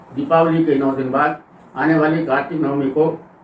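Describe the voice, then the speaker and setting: With noticeable background noise behind him, a man speaks in a monotone, flat intonation at a fairly high pitch. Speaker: farmer and Ayurvedic plant educator. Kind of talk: informative talk to camera about farming.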